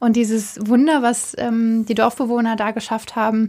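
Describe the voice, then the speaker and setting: A woman with an ordinary speaking voice, fairly high in pitch. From Germany, Cologne. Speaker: journalism intern. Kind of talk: interview.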